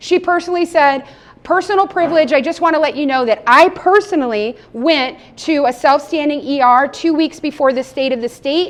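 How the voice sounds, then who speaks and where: A woman's high, animated voice with an American accent, fairly quick in pace and lively in intonation. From Las Vegas, Nevada. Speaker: state legislator and physician. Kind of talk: panel talk on legislation. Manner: fast.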